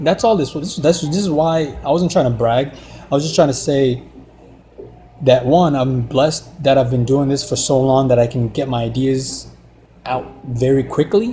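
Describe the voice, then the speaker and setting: A man with a fairly high pitch and ordinary pitch variation talks as noticeable background noise carries on behind him. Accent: non-native. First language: not English. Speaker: artist and car design vlogger. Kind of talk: casual monologue while drawing. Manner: halting, many restarts and fillers.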